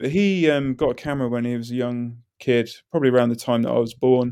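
A dark, mellow tone in a southern English accent, on a very clean recording with a silent background. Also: man. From southern England, High Wycombe. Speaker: illustrator. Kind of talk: casual chat.

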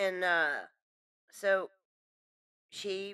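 Heard dry and close with no echo, a woman's medium-pitched voice has a bright, sharp tone and fairly even intonation. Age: 30s. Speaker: podcast co-host and storyteller. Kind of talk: casual storytelling chat.

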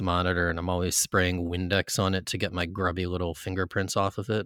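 A man speaks at a fairly quick pace, his pitch very deep and low, his tone bright and sharp. The recording is very clean, with a silent background. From suburbs. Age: 40s. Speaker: music podcast host. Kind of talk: casual chat.

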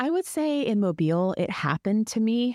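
A woman talks at a moderate pace with very wide pitch swings. The sound is dry and close, with no echo. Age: 30s. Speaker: podcast co-host, marketing director, former news reporter. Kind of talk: casual chat.

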